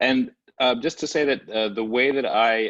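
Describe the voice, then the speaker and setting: In an American accent, a man speaks with fairly even intonation in a dry, close sound with no echo. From US, Brooklyn New York. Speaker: artist. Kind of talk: online panel presentation. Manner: fast.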